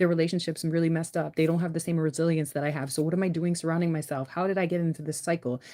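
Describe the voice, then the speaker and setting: A woman with a dark, mellow tone and fairly low pitch talks very fast in a flat monotone. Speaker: spiritual tarot reader. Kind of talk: tarot reading. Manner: casual, repetitive.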